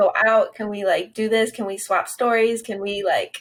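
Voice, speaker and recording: An unremarkable speaking voice proceeds at a moderate pace. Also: woman. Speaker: podcast host. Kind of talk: interview.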